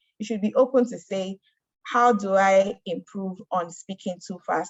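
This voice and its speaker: Her intonation fairly even, a woman talks in a medium pitch. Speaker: mentorship program speaker. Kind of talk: presentation. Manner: fast.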